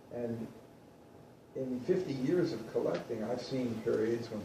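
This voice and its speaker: A man talks at a medium pitch and a fairly slow pace, with lively intonation. The recording has audible room echo and noticeable background noise. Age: 60s. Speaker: vintage guitar dealer and collector. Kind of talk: talk to an audience. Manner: conversational.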